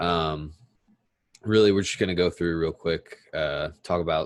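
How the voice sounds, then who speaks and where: A man's very deep, low voice at a fairly slow pace. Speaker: MMA vlogger. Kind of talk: casual fight recap. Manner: monotone; hesitant with many fillers.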